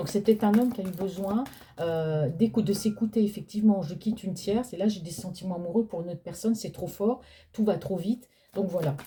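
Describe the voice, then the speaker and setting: A soft-spoken woman at medium pitch, fairly quick in pace, with ordinary pitch variation and big swings in loudness. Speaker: tarot card reader. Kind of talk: psychic reading. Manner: speaking louder than usual. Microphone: no microphone.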